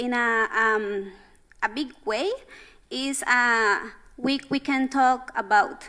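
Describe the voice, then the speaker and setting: Speaking with a Spanish accent, a woman uses a high pitch, a bright, sharp tone and ordinary pitch variation, going at a very slow pace with long, frequent pauses. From Central America. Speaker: youth delegate at climate conference. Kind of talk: panel discussion. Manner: halting.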